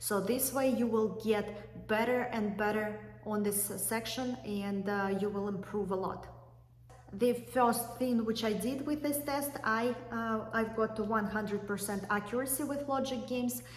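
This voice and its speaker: A woman with a fairly high pitch and fairly even intonation speaks at a fairly slow pace, with audible room echo and noticeable background noise. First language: not English. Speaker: YouTuber, law school applicant. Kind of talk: tutorial. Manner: hesitant with fillers.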